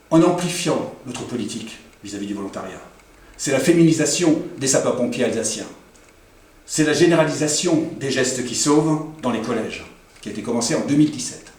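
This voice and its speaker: A man with a fairly high pitch speaks at a moderate pace, with lively intonation, big swings in loudness, and long, frequent pauses. Audible room echo and noticeable background noise are present. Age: 60s. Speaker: local politician. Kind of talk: campaign speech. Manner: formal.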